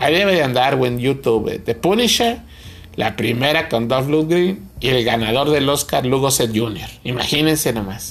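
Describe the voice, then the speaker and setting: A man with a Mexican accent speaks at medium pitch and a fairly slow pace, with lively intonation, an animated tone and very even loudness. Noticeable background noise and audible room echo fill the recording. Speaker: podcast co-host, film reviewer. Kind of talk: casual comedic chat. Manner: animated, laughing.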